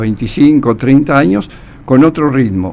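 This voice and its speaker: A man talks fairly slowly with ordinary pitch variation while noticeable background noise sits behind him. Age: 70s. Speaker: journalist and writer. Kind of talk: radio interview. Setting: radio studio.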